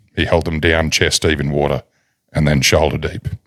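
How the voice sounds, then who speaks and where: The speaker has an Australian accent and a dramatic tone. The pace is moderate. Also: man. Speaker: podcast host. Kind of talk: reading aloud. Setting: studio.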